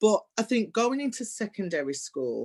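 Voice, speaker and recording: With a Birmingham accent, a woman speaks using lively intonation. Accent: Birmingham (Brummie) English. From Birmingham, England. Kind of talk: personal storytelling in conversation.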